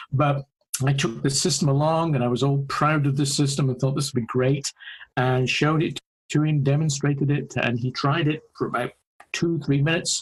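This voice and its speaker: Speaking in a monotone, flat intonation, a man's somewhat breathy voice sits at a fairly high pitch with very even loudness. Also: moderate pace. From UK. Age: 50s. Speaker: AAC researcher and speech-language pathologist. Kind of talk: podcast interview.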